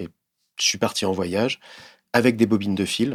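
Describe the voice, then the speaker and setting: The pace of this man's speech is moderate. He keeps his intonation fairly even. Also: very clean recording, silent background. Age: 50s. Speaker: visual artist. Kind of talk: interview monologue. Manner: hesitant, many fillers and repetitions.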